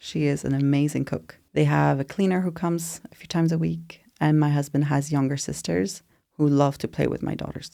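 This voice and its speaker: A woman with a French accent talks at a fairly quick pace on a very clean recording with a silent background. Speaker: postpartum doula. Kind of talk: podcast interview.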